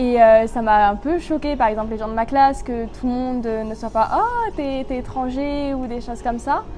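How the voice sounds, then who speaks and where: With hardly any pauses, a high-pitched woman speaks with ordinary pitch variation over music in the background and audible room echo. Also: moderate pace. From southwest France, Bordeaux countryside. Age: 20s. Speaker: university student. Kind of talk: testimony. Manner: casual, hesitant with many fillers.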